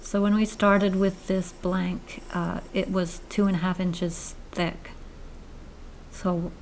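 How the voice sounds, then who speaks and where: A woman with a fairly low pitch speaks in a monotone, flat way, with audible room echo and noticeable background noise. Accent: Maine. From Maine, US. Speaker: woodturner, channel host. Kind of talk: narrated tutorial voiceover. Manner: casual, with hesitations.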